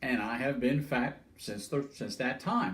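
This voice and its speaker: A man's fairly high voice, somewhat breathy, at a fairly slow pace. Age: 70s. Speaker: older adult sharing life story. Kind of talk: personal testimony. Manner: halting, many fillers.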